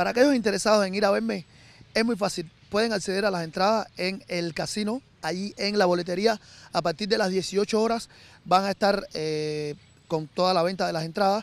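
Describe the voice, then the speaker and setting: A man speaks at a moderate pace in a high voice with ordinary pitch variation. The sound is dry, with no echo. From Cuba. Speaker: musician. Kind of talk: interview. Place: garden. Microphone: handheld.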